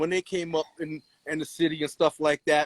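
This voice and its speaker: The sound is dry and close, with no echo. A man is talking. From Long Island, New York. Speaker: rapper. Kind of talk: casual interview.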